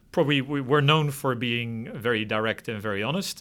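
In a very clean recording with a silent background, a man with a Dutch accent talks at a fairly quick pace with ordinary pitch variation. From Netherlands. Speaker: financial regulator. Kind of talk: interview.

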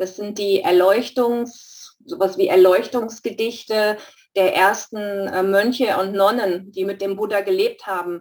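A woman with an unremarkable speaking voice, medium pitch, fairly even intonation and a fairly slow pace. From Stuttgart, Germany. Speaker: study group participant. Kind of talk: group discussion.

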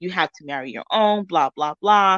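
A woman with a New York accent, medium pitch, ordinary pitch variation and a fairly quick pace. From New York, Spanish Harlem. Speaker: author. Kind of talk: interview.

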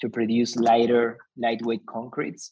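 This man speaks with a Spanish accent at a medium pitch. His pace is moderate. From Argentina. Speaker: company founder. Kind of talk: interview.

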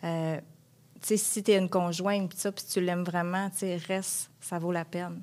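A woman's monotone, flat delivery in a very clean recording with a silent background. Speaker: caregiver spouse. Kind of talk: testimony.

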